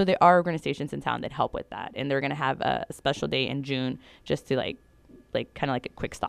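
In an American accent, a woman talks at a very fast pace in a very clean recording with a silent background and a dry, close sound with no echo. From California Central Valley. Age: 30s. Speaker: LGBTQ+ educator and activist. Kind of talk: interview. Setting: studio.

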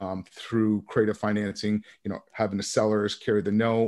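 At a moderate pace, a man speaks in an ordinary speaking voice with fairly low pitch. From Vermont, US. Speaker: real estate investor. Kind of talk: interview.

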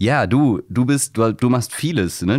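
The recording of this man's voice is very clean, with total silence behind him. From Hamburg, Wilhelmsburg. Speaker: podcast host. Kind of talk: interview.

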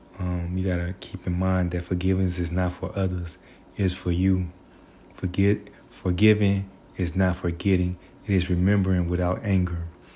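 At a moderate pace, a man with a very deep, low pitch and a dark, mellow, somewhat breathy tone speaks in a monotone, flat way. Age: 30s. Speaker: vlogger. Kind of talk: personal monologue. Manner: reflective.

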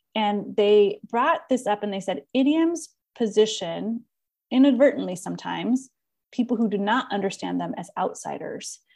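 With an ordinary speaking voice, a woman speaks at a moderate pace, her fairly high pitch carried by lively intonation. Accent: American. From Southern California. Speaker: podcast host and educator. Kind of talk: casual book-club conversation.

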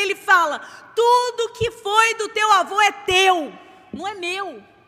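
A woman uses a raised, projected voice at an extremely high pitch. She speaks very slowly, with ordinary pitch variation. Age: 40s. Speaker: preacher. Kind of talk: sermon.

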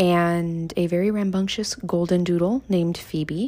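A woman speaks in a dark, mellow tone with an American accent. Her pitch varies in an ordinary way. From US South, Miami, Florida. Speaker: podcast host and content creator. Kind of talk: casual monologue.

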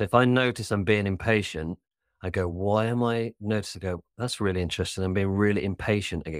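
A man speaks with a British accent. The sound is dry and close with no echo, on a very clean recording with a silent background. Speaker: life coach. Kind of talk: casual chat. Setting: studio. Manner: fast talker.

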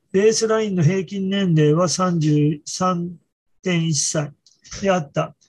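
Fairly slow speech from a man with a high voice and ordinary pitch variation. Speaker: physician presenting research papers. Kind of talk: journal club presentation. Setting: video call.

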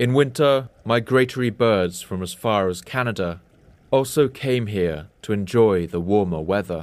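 In an ordinary speaking voice, a man talks at a moderate pace with a fairly low pitch and ordinary pitch variation on a very clean recording with a silent background. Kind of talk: nature documentary narration. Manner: measured, even-paced, formal narrator delivery; authoritative, sweeping, reverent tone.

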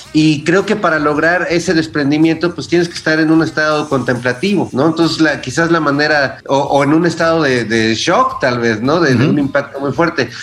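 Speaking at a fairly quick pace with hardly any pauses, a man uses a fairly high pitch and ordinary pitch variation. Noticeable background noise is present. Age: 40s. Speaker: musician and writer. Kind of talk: casual chat.

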